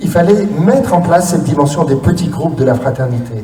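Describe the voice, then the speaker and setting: Noticeable background noise and audible room echo surround a man with a fairly high pitch. His tone is animated, with very wide pitch swings. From France, cider region (Normandy or Brittany). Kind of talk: conference talk. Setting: stage with audience. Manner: animated, interactive.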